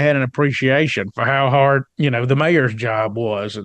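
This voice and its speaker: A fairly high-pitched man with an American accent, fairly quick pace and ordinary pitch variation, over a quiet background. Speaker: economic development consultant. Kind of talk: interview conversation. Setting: podcast studio.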